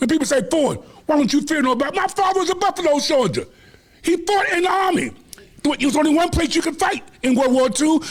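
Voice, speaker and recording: A man speaks at a very fast pace in an extremely high pitch, with an animated tone and lively intonation. Noticeable background noise runs underneath. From Washington DC. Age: 70s. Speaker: community leader. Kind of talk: interview.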